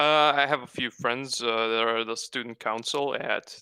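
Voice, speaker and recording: A bright, sharp voice carries a strong Croatian accent. The sound is dry and close with no echo, in a very clean recording with a silent background. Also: man. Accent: thick Croatian. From Croatia (Osijek). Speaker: web comic artist and stand-up comedian. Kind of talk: casual interview chat. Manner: halting, many fillers.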